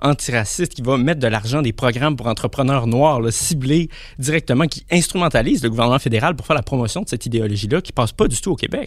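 The voice moves at a fairly quick pace with lively intonation. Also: man. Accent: Quebec. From Quebec City suburbs, Quebec. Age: 20s. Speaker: philosophy and politics student. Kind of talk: panel discussion.

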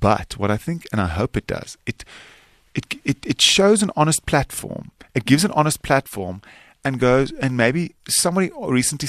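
A man with a South African accent at medium pitch, very wide pitch swings, a moderate pace, and a dry, close sound with no echo. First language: Afrikaans. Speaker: actor and filmmaker. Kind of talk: interview.

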